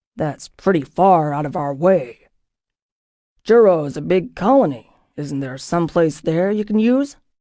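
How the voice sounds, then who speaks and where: Growling in a put-on character voice, a woman speaks at a moderate pace with a fairly low pitch and very wide pitch swings. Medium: read story. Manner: blunt, authoritative, threatening.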